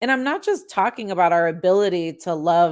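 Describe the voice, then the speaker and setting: Recorded very cleanly against a silent background, a woman with a Chicago accent speaks at a fairly quick pace with ordinary pitch variation. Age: 40s. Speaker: podcast host. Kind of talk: casual monologue.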